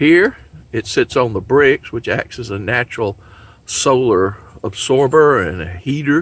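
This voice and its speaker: At a fairly slow pace, a man with a medium pitch uses lively intonation in an unremarkable speaking voice. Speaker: homesteading video maker. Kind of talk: tutorial. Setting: kitchen.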